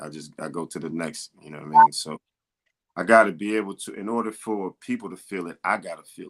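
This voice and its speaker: A man with an American accent talks at a very fast pace with ordinary pitch variation, recorded dry and close with no echo. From Tucson, Arizona. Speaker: rapper. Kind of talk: interview. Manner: halting.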